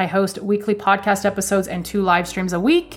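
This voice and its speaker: A woman speaks at medium pitch with a Canadian accent. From Canada. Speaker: spiritual podcast host. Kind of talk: solo podcast monologue.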